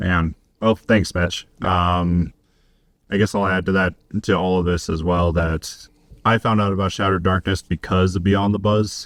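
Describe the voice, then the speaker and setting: A man with an American accent speaks at a very deep, low pitch and a moderate pace, with monotone, flat intonation and very even loudness. The recording is very clean, with a silent background. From Colorado, US mountain west. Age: 30s. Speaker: podcast guest, bar general manager. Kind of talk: personal testimony in casual interview.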